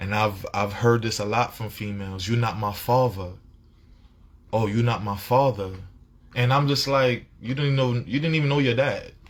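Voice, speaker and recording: A man speaks at a moderate pace and medium pitch with ordinary pitch variation. His voice is somewhat breathy and his tone animated. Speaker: vlogger. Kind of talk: casual monologue.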